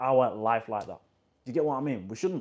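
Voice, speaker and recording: In a very clean recording with a silent background, a man with a West Yorkshire accent speaks at a medium pitch with ordinary pitch variation. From northern England, Huddersfield, West Yorkshire. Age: 20s. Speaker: vlogger. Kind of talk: casual motivational monologue. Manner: casual, repetitive.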